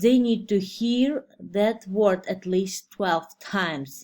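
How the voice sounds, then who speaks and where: A woman's very slow speech at a medium pitch with a non-native accent, in a very clean recording with a silent background. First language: not English. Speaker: preschool teacher and student. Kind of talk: class presentation. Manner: halting.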